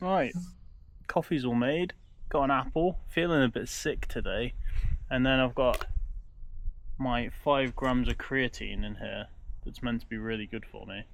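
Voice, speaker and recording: Speaking with a British accent, a man moves at a fairly slow pace and leaves long, frequent pauses. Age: 30s. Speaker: travel vlogger. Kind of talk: casual vlog monologue. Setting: outdoors.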